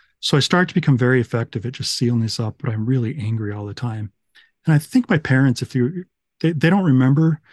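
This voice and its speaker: Over a quiet background, a man with an American accent and a medium pitch speaks at a very fast pace, somewhat breathy, with ordinary pitch variation and a dry, close sound with no echo. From Utah and Texas, US. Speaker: recovery story guest. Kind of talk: testimony.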